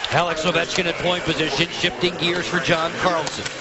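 An excited tone over noticeable background noise. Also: man. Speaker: sports commentator. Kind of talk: live play-by-play hockey commentary. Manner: rapid-fire, clipped, excited; raises pitch and volume on goals.

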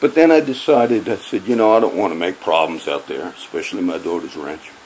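A man's voice with very wide pitch swings over light background noise. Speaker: vlogger. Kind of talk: casual vlog rant. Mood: angry, agitated. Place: home room. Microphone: phone near.

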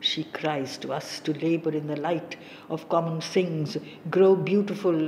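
Noticeable background noise sits under a woman's fairly low voice. She speaks at a fairly slow pace in a monotone, flat intonation. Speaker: audiobook narrator. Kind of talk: poetry audiobook reading, solemn and literary. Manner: slow, measured, and reverent; steady, contemplative cadence with long pauses between stanzas.

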